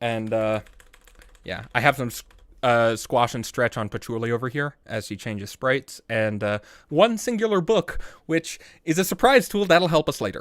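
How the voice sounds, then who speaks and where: A man talks at a moderate pace with lively intonation and a medium pitch, in an ordinary speaking voice. The recording is very clean with a silent background and a dry, close sound with no echo. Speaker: YouTuber reviewing own videos on livestream. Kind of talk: casual livestream commentary. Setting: livestream.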